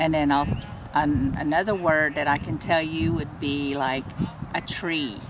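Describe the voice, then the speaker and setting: Noticeable background noise accompanies a woman speaking at a very deep, low pitch. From East Texas, near Alabama-Coushatta reservation. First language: Coushatta. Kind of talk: personal testimony interview. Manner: hesitant, many fillers.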